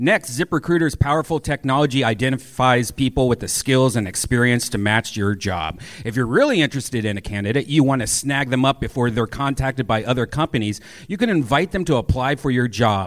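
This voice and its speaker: A man speaks at a fairly quick pace with hardly any pauses. His is a plain, everyday voice of medium pitch with ordinary pitch variation. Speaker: podcast co-host and producer. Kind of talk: live comedy show banter and ad reads. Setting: stage with audience.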